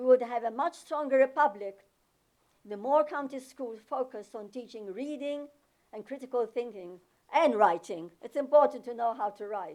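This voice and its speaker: The woman's pitch is high, with ordinary variation and a moderate pace. Her loudness rises and falls sharply. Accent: non-native. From overseas, former socialist country. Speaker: public commenter at school board meeting. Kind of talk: public comment speech. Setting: public meeting.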